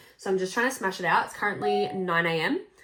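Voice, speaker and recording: A woman with an Australian accent and a medium-pitched voice. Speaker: photographer and content creator. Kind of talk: casual vlog.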